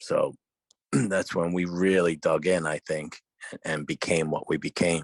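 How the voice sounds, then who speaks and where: In a New York accent, a man speaks at a fairly slow pace, recorded with a dry, close sound and no echo. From New York, Brooklyn. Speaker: podcast co-host. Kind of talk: casual chat.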